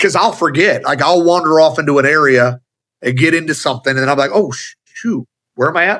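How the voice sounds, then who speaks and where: A man speaks loudly in a bright, sharp tone. His pitch is fairly high, with ordinary pitch variation. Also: fairly quick pace. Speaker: automotive business leader and speaker. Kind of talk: casual interview chat.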